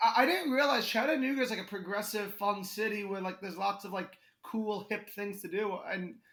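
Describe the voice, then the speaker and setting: In a New York accent, a man talks at a fairly quick pace and a high pitch with ordinary pitch variation. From Connecticut. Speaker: comedian. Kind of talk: casual chat.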